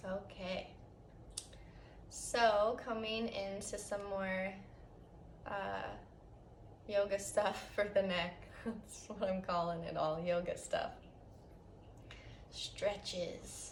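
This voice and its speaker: Soft-spoken, a woman talks at a very slow pace with long, frequent pauses, amid audible room echo and noticeable background noise. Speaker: yoga teacher. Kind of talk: guided yoga class.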